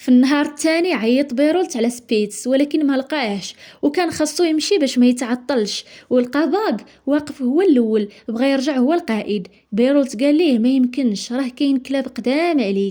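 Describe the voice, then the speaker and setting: With a Moroccan accent, a woman speaks in a high voice, dark and mellow in tone, at a moderate pace with ordinary pitch variation. Her loudness stays very even on a very clean recording with a silent background. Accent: Moroccan Darija. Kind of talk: movie summary narration.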